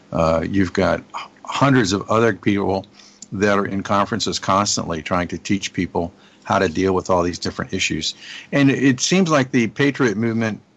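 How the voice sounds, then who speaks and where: In a very clean recording with a silent background, a man with an ordinary speaking voice talks at a fairly quick pace, his fairly low pitch carried by lively intonation. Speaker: marketing partner and guest. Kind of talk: casual chat.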